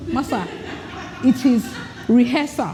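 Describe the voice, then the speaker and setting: Noticeable background noise sits behind a woman with a high pitch. Her tone is animated and her intonation lively. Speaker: leadership speaker. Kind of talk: workshop presentation. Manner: fast.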